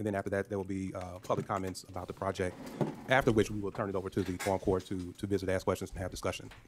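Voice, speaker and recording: A very fast, monotone, flat male voice at a fairly low pitch against noticeable background noise. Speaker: county judge chairing meeting. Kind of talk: meeting chairing. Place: meeting room. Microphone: podium.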